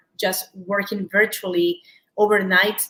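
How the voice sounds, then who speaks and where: This woman talks at a moderate pace in a medium pitch with flat, monotone intonation and a Peruvian accent. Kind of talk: live shopping show interview. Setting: live stream.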